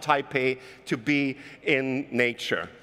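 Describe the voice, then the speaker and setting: A man speaks with a German accent. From Germany. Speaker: keynote speaker. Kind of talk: keynote talk. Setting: stage with audience.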